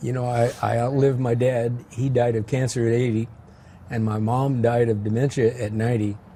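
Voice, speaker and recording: Somewhat breathy speech with a dark, mellow tone, moderate pace and flat, monotone intonation. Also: man, medium pitch for a man. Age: 80s+. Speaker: retired high school teacher. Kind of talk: casual interview. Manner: halting, repeats words.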